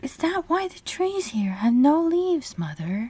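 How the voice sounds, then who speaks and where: A female-sounding put-on character voice is high-pitched with very wide pitch swings. The pace is moderate. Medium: read story.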